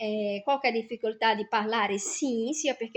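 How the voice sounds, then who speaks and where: A woman speaks with a Brazilian accent and a high pitch. Her pace is fairly slow. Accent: Brazilian Portuguese accent in Italian. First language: Portuguese (speaking Italian). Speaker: vlogger. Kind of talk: personal vlog monologue.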